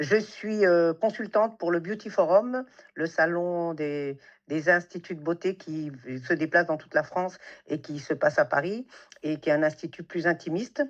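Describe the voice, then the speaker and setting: A woman speaks at a fairly low pitch and a moderate pace, with ordinary pitch variation. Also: quiet background. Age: 60s. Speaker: beautician and salon entrepreneur. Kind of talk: interview conversation. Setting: podcast recording. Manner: hesitant, many fillers.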